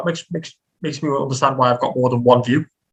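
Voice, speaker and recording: Words come out at a very fast rate. The voice has a bright, sharp tone. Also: man. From Liverpool, northwest England. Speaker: Hyrox and obstacle course athlete. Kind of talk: casual podcast interview. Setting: podcast recording.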